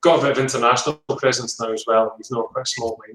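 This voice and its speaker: The speaker talks with a Scottish accent and fairly even intonation. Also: man. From Scotland, Edinburgh. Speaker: winemaker. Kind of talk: casual interview.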